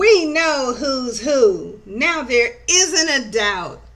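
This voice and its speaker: Shouting in a put-on character voice, a woman speaks very slowly at a high pitch. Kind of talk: bedtime story. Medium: read story. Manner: shouting, snooty.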